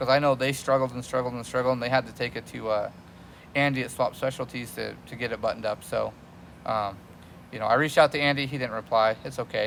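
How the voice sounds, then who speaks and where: A man talks at a very fast pace with a medium pitch and fairly even intonation. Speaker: car mechanic and video host. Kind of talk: casual shop talk to camera.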